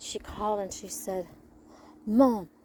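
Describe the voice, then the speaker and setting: A soft-spoken woman over noticeable background noise. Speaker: pony owner and vlogger. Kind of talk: casual chat. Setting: outdoors.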